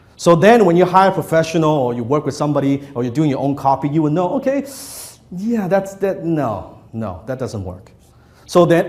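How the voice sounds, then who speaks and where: Moderate pace from a man with a non-native accent, fairly high in pitch, with lively intonation and audible room echo. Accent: non-native English, noticeable. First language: not English. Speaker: copywriting trainer. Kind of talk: workshop lecture to live audience. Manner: conversational, interactive with audience.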